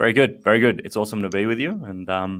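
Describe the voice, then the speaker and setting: Very fast in pace, a man with an Australian accent talks at a fairly low pitch. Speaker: math education company representative. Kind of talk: casual interview.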